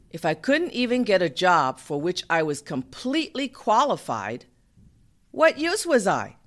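In a very clean recording with a silent background, a woman speaks at a fairly slow pace with a medium pitch, vocal fry, and very wide pitch swings. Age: middle-aged. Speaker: podcast host and storyteller. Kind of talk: personal story narration.

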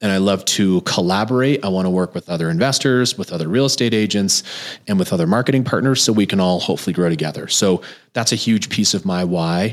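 Speaking fairly quickly with an American accent, a man uses an ordinary speaking voice at a fairly low pitch. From New Jersey. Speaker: real estate investor and podcast host. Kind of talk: podcast monologue.

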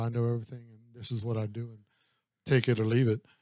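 Quiet and fairly quick, a man's medium-pitched voice has a dark, mellow tone and a dry, close sound with no echo. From Louisiana. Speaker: business coach. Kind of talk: casual interview chat. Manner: quiet, calm.

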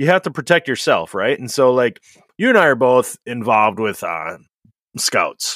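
With vocal fry and very wide pitch swings, a man speaks in a dry, close sound with no echo on a very clean recording with a silent background. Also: medium pitch for a man, moderate pace. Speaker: trades podcast host, plumber. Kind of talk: casual chat. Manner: loud.

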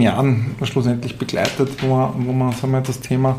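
Amid noticeable background noise and audible room echo, a man talks fairly quickly at a medium pitch. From Austria, Tyrol. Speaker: management consultant. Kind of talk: interview. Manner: halting, many fillers and repetitions.

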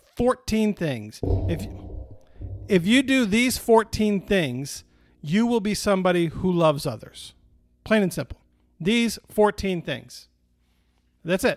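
Speaking at a fairly slow pace with long, frequent pauses, a man uses a high pitch and lively intonation in a dry, close sound with no echo. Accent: Midwestern American. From Michigan, US Midwest. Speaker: pastor. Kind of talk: sermon. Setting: online video stream. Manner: casual, conversational.

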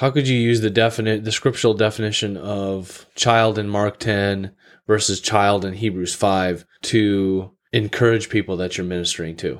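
An ordinary speaking voice at a moderate pace, with fairly even intonation, comes through a very clean recording with a silent background. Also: man, fairly low pitch for a man. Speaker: podcast host. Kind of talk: casual theological discussion.

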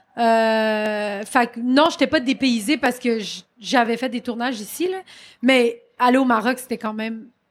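Over a silent background in a very clean recording, a woman speaks loudly and at a fairly slow pace, using a high pitch with ordinary pitch variation. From Quebec, Saint-Jean-sur-Richelieu. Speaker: comedian and actress. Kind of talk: interview. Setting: live stage at comedy festival.

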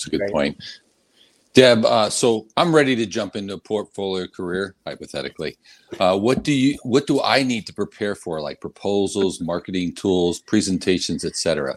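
A man with an ordinary speaking voice talks at a moderate pace, fairly low in pitch with lively intonation. The recording is very clean, dry and close, with a silent background and no echo. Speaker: host. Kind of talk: casual interview. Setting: live stream.

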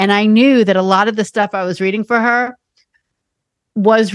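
A woman with an American accent and an ordinary speaking voice, medium pitch, fairly even intonation and a fairly quick pace, in dry, close sound with no echo. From New York City. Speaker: podcast host, psychic medium. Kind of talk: casual chat.

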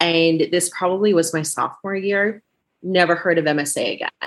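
A woman speaks with fairly even intonation in an unremarkable speaking voice, fairly low in pitch. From US, child of Belarusian immigrants. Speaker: podcast host. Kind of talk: casual interview chat.

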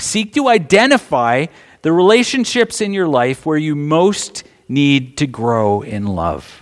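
Speaking at a fairly slow pace, a man's pitch swings very widely. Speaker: pastor. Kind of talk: sermon. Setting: church.

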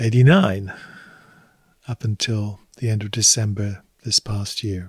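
A man with a southern English accent speaks at a fairly slow pace in a fairly low, somewhat breathy voice on a very clean recording with a silent background. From southern England, Hampshire. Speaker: retired theology professor. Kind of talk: interview.

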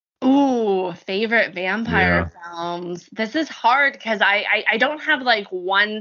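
A woman with an American accent talks at a fairly slow pace with hardly any pauses, in a fairly high voice. Her intonation is lively, and her loudness swings widely. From Southern California, Orange County. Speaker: actress and performer. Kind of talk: casual chat. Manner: animated.

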